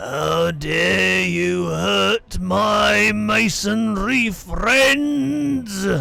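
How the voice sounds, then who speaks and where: Growling in a put-on character voice, a man speaks at a very slow pace. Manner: menacing, angry.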